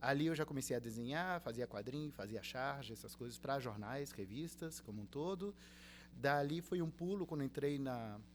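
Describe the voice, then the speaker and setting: A plain, everyday voice from a man, medium in pitch, with lively intonation and a moderate pace. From Brazil, Rio de Janeiro state (Cabo Frio), early childhood in Uruguay. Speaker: university professor, illustrator and game designer. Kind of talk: podcast interview.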